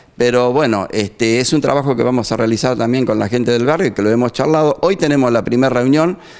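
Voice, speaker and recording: The setting behind the voice is quiet. A man does the talking. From Argentina. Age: 60s. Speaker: neighbourhood association president. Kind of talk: street interview. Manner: halting. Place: studio. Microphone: handheld.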